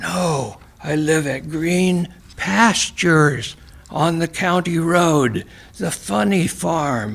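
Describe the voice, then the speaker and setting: A man's put-on character voice, whispering at a very slow pace. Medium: read story. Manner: cryptic, non sequiturs.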